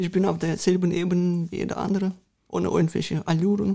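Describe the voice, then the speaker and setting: A woman's fairly low, somewhat breathy voice with a dark, mellow tone, a flat monotone delivery and a very fast pace. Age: 30s. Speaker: mayoral candidate. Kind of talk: interview.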